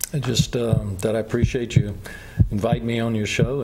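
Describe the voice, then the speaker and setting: A man talks at a fairly quick pace in a medium pitch. Noticeable background noise can be heard behind him. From Baton Rouge, Louisiana. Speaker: author. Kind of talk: TV interview.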